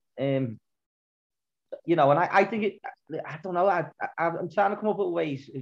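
Delivered fairly quickly, the speech has ordinary pitch variation. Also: man. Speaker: podcast co-host, fan. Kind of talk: casual chat.

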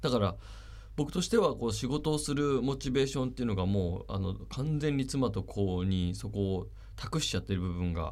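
Audible room echo carries a man's fairly low voice at a moderate pace. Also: lively intonation. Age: 40s. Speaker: radio host. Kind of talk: casual radio talk.

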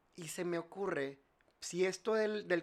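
A man speaks at a fairly slow pace with fairly even intonation. He has an ordinary speaking voice. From Mexico, Monterrey. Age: 30s. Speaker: industrial designer and entrepreneur. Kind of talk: casual chat.

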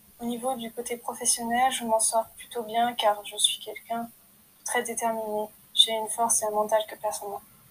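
Here a woman talks at a fairly high pitch and a moderate pace, with monotone, flat intonation. Her loudness swings widely. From France. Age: 20s. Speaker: podcaster and aspiring writer. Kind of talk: personal introduction monologue. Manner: hesitant.

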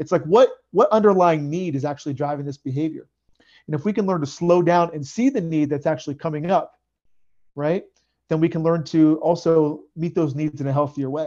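Speaking at a very fast pace, a man uses a high pitch with ordinary pitch variation. His tone is dark and mellow against a quiet background. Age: 30s. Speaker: men's coach and ordained Buddhist minister. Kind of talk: interview.

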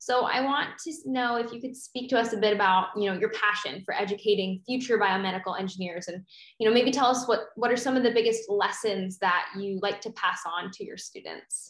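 With an unremarkable speaking voice, a woman talks at a fairly quick pace and a fairly high pitch, with ordinary pitch variation, big swings in loudness and hardly any pauses. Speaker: podcast co-host. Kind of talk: interview.

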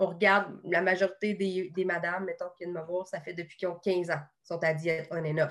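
A woman with a normal speaking voice, medium pitch and a fairly quick pace. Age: 30s. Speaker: nutritionist. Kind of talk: casual interview.

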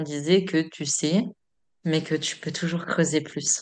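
A woman speaks at a fairly slow pace in a fairly low pitch, her intonation fairly even against a quiet background. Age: 30s. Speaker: energy therapist and medium. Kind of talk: casual chat. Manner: hesitant, many fillers.

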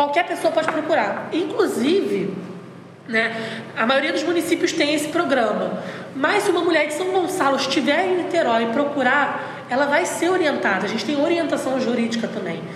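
A woman's high-pitched voice with lively intonation at a moderate pace, plus audible room echo and noticeable background noise. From Brazil, interior of Rio de Janeiro state. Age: 20s. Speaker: women's rights policy coordinator. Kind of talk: interview.

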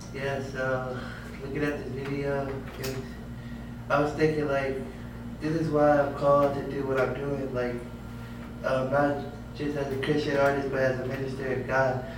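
In an American accent, a man talks at a moderate pace with a fairly high pitch and monotone, flat intonation. Long, frequent pauses break up his speech, and noticeable background noise sits underneath. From Tampa, Florida. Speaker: gospel singer-songwriter. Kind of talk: casual chat.

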